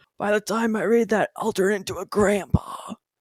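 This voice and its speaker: A female-sounding voice is put on as a character, raspy and at medium pitch for a woman. The pace is moderate. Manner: comically weary.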